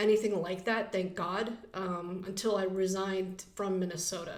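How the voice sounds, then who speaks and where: Audible room echo surrounds a woman speaking at a medium pitch and fairly slow pace, her intonation monotone and flat. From Pittsburgh, Pennsylvania, US. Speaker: podcast host and former radio host. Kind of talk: casual interview chat.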